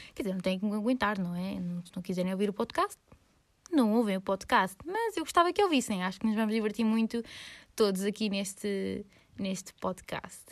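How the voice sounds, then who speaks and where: On a very clean recording with a silent background, a woman with a Lisbon accent speaks at a medium pitch and moderate pace, with ordinary pitch variation and big swings in loudness. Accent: European Portuguese, Lisbon. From Lisbon, Portugal. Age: 20s. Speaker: podcaster and university student. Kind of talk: casual solo monologue.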